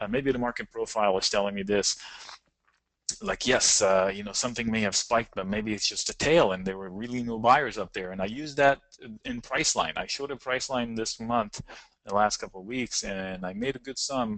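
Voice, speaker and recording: A man with a non-native accent, medium pitch, ordinary pitch variation and a fairly quick pace. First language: not English. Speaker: options trading educator. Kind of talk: webinar presentation.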